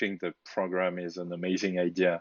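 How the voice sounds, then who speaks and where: A man talks with a strong French accent. He keeps a moderate pace. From France. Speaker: DevOps engineer, program curator. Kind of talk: online meeting introductions.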